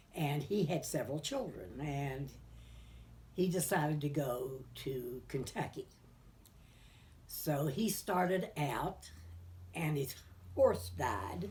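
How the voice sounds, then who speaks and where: A woman with a West Virginia accent speaks very slowly, with long, frequent pauses and audible room echo. Her very deep, low voice has vocal fry and very wide pitch swings. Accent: Appalachian West Virginia. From US Appalachia, Greenbrier County, West Virginia. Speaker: local elder sharing memories. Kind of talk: oral history interview. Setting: living room at home.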